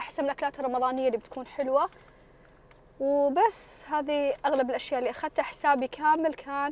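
Dry with no echo, a woman's high-pitched voice moves at a moderate pace with fairly even intonation. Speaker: food vlogger. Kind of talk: casual vlog chat. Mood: relaxed, pleased. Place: car. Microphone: phone near.

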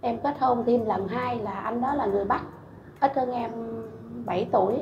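Against music in the background and audible room echo, a woman speaks with ordinary pitch variation. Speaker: guest. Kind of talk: interview answer. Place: studio. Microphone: lapel.

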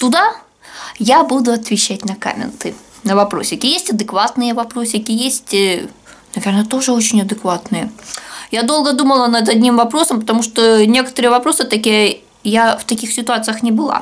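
A woman speaks at a fairly high pitch with ordinary pitch variation, leaving long, frequent pauses. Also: moderate pace. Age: 30s. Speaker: video blogger. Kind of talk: casual vlog Q&A. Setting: at home, kitchen. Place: home room. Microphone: webcam.

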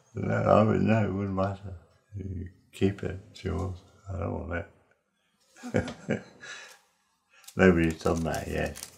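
The speech moves at a fairly slow pace with fairly even intonation. Loudness swings widely, and long pauses come often. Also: man, very deep, low pitch for a man. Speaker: interviewee. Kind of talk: interview answer. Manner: soft-spoken, slurred at times. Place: home room.

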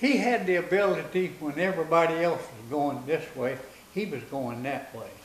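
A man with a West Texas accent speaks at a moderate pace with a fairly high pitch and lively intonation, over light background noise and audible room echo. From Texas Panhandle. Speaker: war veteran. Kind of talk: interview answer. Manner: folksy, hesitant storytelling. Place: home room.

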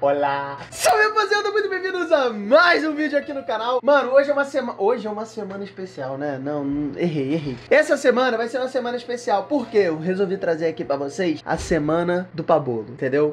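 Over light background noise, a man talks at a fairly quick pace with very wide pitch swings and hardly any pauses. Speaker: youtuber. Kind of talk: casual vlog chat. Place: home room.

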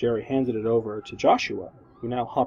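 Fairly even intonation in a natural reading voice.

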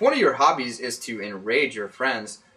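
Lively intonation marks a man's speech over noticeable background noise. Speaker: staff writer. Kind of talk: movie review reading.

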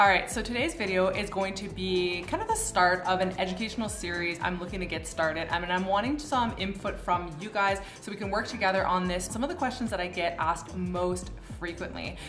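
A woman talking at a fairly quick pace with hardly any pauses, ordinary pitch variation, and clear music in the background. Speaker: aviation vlogger. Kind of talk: tutorial. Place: home room.

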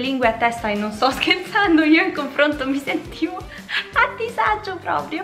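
Her delivery is moderate in tempo. Behind the woman, clear music can be heard. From Rome. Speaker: language teacher youtuber. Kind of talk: casual talk to camera. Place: home room.

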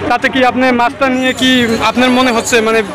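With clear background noise and crowd noise behind him, a man speaks at a fairly quick pace with an extremely high pitch that moves very little.

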